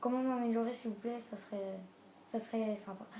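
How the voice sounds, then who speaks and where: Heard through noticeable background noise and audible room echo, a woman speaks at a fairly high pitch with fairly even intonation. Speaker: gaming youtuber. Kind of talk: video game team presentation. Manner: halting.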